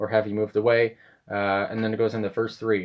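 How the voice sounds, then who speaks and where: This man's voice sits fairly low. He speaks very fast. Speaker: music reaction youtuber. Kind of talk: casual monologue.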